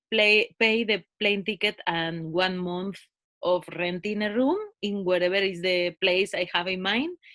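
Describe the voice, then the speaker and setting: A woman with a Spanish accent at a fairly slow pace, in a dry, close sound with no echo. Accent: Spanish, flat in English. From Spain, near Madrid. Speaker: author and cycling traveller. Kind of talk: casual interview.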